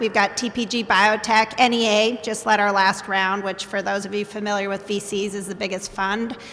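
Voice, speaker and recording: Noticeable background noise sits behind a woman's fairly high voice. She talks at a moderate pace in a monotone, flat intonation. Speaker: biotech company CEO. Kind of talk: panel discussion. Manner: loud.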